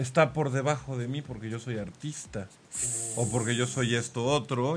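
He has an ordinary speaking voice, and this man's pitch is medium. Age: 40s. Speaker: sales trainer. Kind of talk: casual chat.

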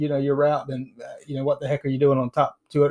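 The man's dark, mellow tone comes through with a dry, close sound and no echo. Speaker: podcast co-host. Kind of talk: casual chat. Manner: halting with many fillers. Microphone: new mic matching co-host's.

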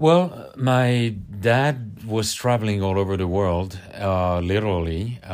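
A man with a French accent talks with ordinary pitch variation on a very clean recording with a silent background. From Paris, France. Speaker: podcast guest.

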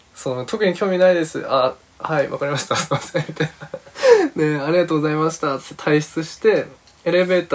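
His pitch varies in an ordinary way. The man speaks at a fairly quick pace. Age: 20s. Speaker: podcast host, freelance creative. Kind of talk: casual monologue. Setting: recording room with a friend present.

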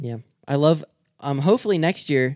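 A man with an American accent speaks at a moderate pace. The sound is dry and close, with no echo. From Michigan. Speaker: podcast host, snake hunter. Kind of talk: casual chat. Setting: video podcast.

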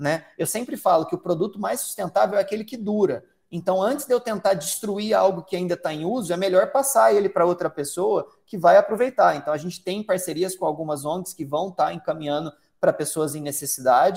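A man speaks with a high voice. His intonation is lively and his pace fairly quick. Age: 30s. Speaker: founder of a vegan footwear brand, trained airline pilot. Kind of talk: interview.

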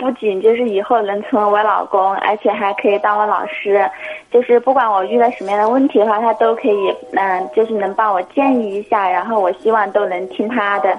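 With music in the background, a woman talks at a fairly quick pace and ordinary pitch variation. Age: 20s. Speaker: visually impaired caller. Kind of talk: call-in conversation. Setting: phone call. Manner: quiet. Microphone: mobile phone, clear.

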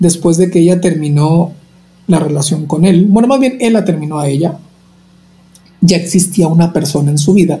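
A man's fairly high voice moves at a moderate pace, its pitch varying in an ordinary way. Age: 30s. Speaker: nurse and opera singer. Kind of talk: interview. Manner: talkative, energetic.

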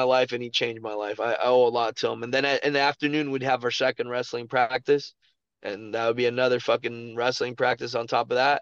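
A man's medium-pitched voice with an American accent at a very fast pace. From Miami, Florida (Kendall). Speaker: professional MMA fighter. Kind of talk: casual interview chat. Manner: animated.

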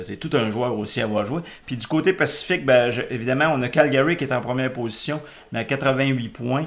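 This man has a normal speaking voice at a medium pitch and a moderate pace. His loudness swings a great deal. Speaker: podcast host. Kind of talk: casual chat.

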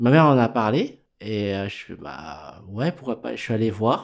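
Lively in intonation, a man speaks on a very clean recording with a silent background. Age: 40s. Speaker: tattoo artist. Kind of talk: interview.

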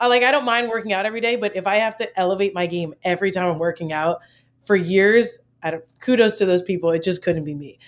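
Speaking at a very fast pace, a woman with an American accent keeps a medium pitch and ordinary pitch variation. The recording is very clean, with a silent background. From US, Maryland. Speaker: college basketball assistant coach. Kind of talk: casual interview.

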